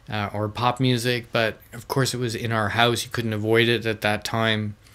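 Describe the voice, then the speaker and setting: Flat and monotone, a man's medium-pitched voice proceeds at a moderate pace. He speaks with a Canadian accent. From Canada, Ontario near Michigan border. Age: 50s. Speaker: jazz guitarist and YouTube musician. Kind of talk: personal reminiscence. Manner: halting, many fillers.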